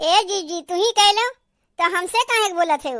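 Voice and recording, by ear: A woman does a cartoonish character voice that is squeaky and extremely high in pitch, with lively intonation and a fairly quick pace.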